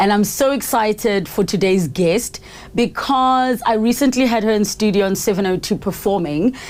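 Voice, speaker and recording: A normal speaking voice moves at a moderate pace with ordinary pitch variation. The loudness stays very even. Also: woman, fairly high pitch for a woman. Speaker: podcast host. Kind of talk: podcast interview questions.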